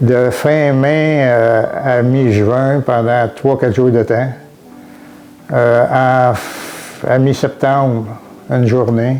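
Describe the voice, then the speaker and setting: A man speaks in a flat monotone at a medium pitch, very slowly and with long, frequent pauses, his loudness very even over background music. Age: 70s. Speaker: retired farmer. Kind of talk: testimony. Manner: halting, many hesitations.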